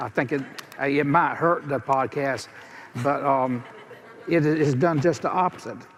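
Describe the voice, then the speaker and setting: A man with a strong Southern US accent and a fairly high pitch speaks at a fairly slow pace with fairly even intonation and long, frequent pauses over noticeable background noise. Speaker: podcast guest. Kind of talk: live panel talk. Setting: stage with audience.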